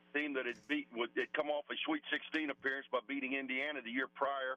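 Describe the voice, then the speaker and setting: A man with a normal speaking voice talks at a moderate pace. His pitch is fairly high, and his intonation fairly even. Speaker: college basketball coach and former player. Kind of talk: radio interview.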